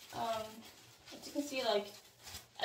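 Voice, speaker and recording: Audible room echo surrounds a woman who speaks at a fairly quick pace with a medium pitch and ordinary pitch variation. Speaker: beauty vlogger. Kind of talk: casual vlog talk. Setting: small bathroom. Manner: hesitant, many fillers.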